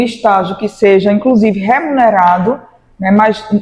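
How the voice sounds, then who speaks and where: This woman's voice sits fairly high and has a dark, mellow tone. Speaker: law professor. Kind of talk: interview.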